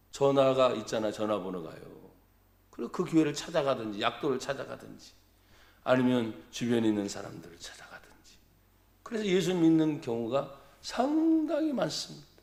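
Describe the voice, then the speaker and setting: With lively intonation and big swings in loudness, a man at medium pitch talks at a moderate pace. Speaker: pastor. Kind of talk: sermon. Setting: church. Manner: animated.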